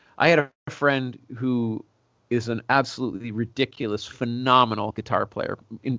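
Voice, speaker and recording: A man with a Canadian accent has an ordinary speaking voice, with a medium pitch and fairly even intonation. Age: 40s. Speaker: singer-songwriter. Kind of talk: casual interview.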